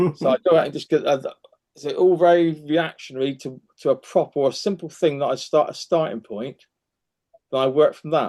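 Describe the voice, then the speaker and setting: The voice has a dark, mellow tone and ordinary pitch variation, moving at a fairly quick pace in a dry, close sound with no echo. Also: man. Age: 60s. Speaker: photographer. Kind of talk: casual chat. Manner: halting, many restarts.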